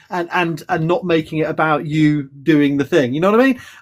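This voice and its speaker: His pace runs fairly quick. The man talks with a British accent. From England. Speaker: professor. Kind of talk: casual chat. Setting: live stream video call.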